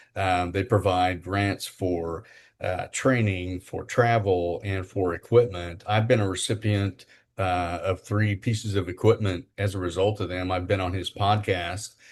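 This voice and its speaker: In a quiet background, a man speaks fairly slowly and somewhat breathily, his very deep, low pitch held in fairly even intonation. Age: 60s. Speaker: podcast co-host, spinal injury survivor and wheelchair athlete. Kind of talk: casual interview chat. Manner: halting, many fillers.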